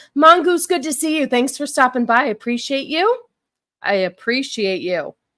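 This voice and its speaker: A woman with an American accent speaks at a moderate pace in a high pitch, her tone bright, sharp and animated. Her intonation is lively, and the recording is very clean with a silent background. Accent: New York-like accent sometimes. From Huntington Beach, California. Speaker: live streamer. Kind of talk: casual live-stream chat. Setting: live stream.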